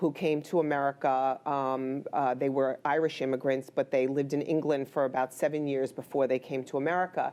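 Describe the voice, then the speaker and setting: With a New York accent, a woman talks at a fairly quick pace with hardly any pauses, her very deep, low voice dark and mellow, monotone and flat in intonation and very even in loudness. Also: quiet background. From New York, the Bronx. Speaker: healthcare executive, former nurse. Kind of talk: interview.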